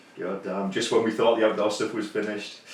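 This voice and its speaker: A man with fairly low pitch and ordinary pitch variation is heard with audible room echo and noticeable background noise. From northeast England. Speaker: YouTube vlogger. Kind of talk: casual chat.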